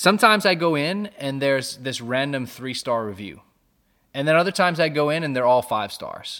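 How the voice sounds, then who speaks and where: A man speaks in a bright, sharp, animated tone with lively intonation. His pitch is fairly high, and his pace is fairly quick. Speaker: podcast co-host. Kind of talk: casual chat about theology. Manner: animated, jittery from caffeine.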